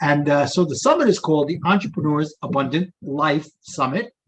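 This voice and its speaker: With a New York accent, a man speaks at a moderate pace. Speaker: summit host.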